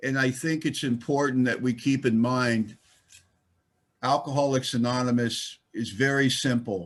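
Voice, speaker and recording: An American man with an unremarkable speaking voice talks at a fairly slow pace in a medium pitch, his intonation fairly even. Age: 60s. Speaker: recovering alcoholic speaker. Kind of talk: recovery meeting talk. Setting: online conference.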